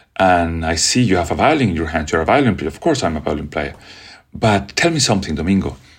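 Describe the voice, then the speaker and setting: A very deep, low-pitched man's voice with a Spanish accent, very fast and with lively intonation. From Venezuela. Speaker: orchestra conductor. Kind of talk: interview.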